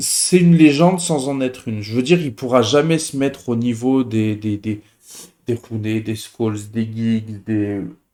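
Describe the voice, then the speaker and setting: Talking at a fairly slow pace, a man has a medium pitch and ordinary pitch variation. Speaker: football YouTuber. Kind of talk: casual chat. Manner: hesitant, many fillers.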